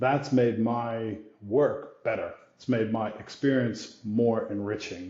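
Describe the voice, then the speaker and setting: A man with an American accent speaks at a very slow pace, his medium-pitched voice somewhat breathy. His intonation stays fairly even, and the room echo is audible. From US, New York area. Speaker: brand executive. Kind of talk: interview conversation.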